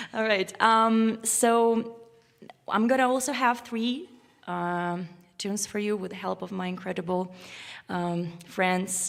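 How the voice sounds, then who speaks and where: In an Uzbek accent, a woman talks very slowly at a medium pitch. She takes long, frequent pauses. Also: ordinary pitch variation. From Uzbekistan. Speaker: violinist. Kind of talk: spoken introduction to a concert piece. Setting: concert stage with live audience, live-streamed. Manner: halting, many fillers and restarts.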